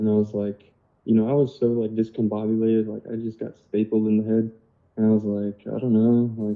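A man speaks at a fairly low pitch. His intonation is monotone and flat. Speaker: cymatics researcher and massage practitioner. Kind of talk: casual chat. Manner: calm; slow.

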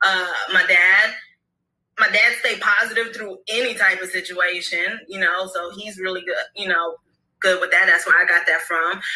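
A woman with a normal speaking voice and medium pitch talks at a moderate pace, with ordinary pitch variation and big swings in loudness. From Brooklyn and Florida. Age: 30s. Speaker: hair care entrepreneur. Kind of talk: casual interview.

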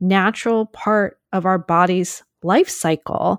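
A woman at a medium pitch, with ordinary pitch variation, speaks in a plain, everyday voice, recorded dry and close with no echo, very clean, against a silent background. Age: 40s. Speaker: journalist and author. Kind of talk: personal storytelling.

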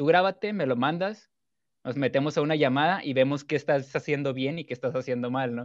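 Against a quiet background, a man with a plain, everyday voice speaks at a fairly high pitch with ordinary pitch variation. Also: fairly quick pace. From Mexico, Culiacán, Sinaloa. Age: 20s. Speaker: gaming streamer. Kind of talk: casual chat.

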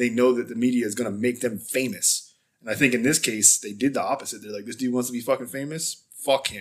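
At a very fast pace, a man of medium pitch talks with fairly even intonation. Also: big swings in loudness. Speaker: true crime podcast co-host. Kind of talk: casual true crime chat. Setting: home recording.

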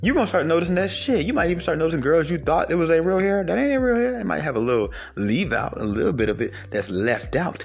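A man speaks at a very fast pace in a high pitch, with hardly any pauses and very wide pitch swings. His loudness stays very even, and noticeable background noise is present. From Atlanta area, Georgia (DeKalb County), West Indian household. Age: 20s. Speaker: podcast host. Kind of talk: casual monologue. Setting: recording alone on phone. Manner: casual, slangy.

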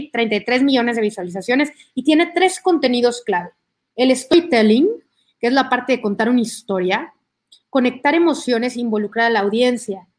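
Her voice high in pitch, a woman talks at a fairly quick pace with lively intonation. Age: 30s. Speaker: motivational speaker and content creator. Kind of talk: online talk.

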